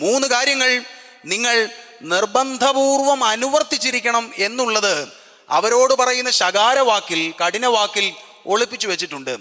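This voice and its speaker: Over noticeable background noise, a man with an extremely high pitch uses a raised, projected voice and ordinary pitch variation. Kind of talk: sermon, Bible exposition.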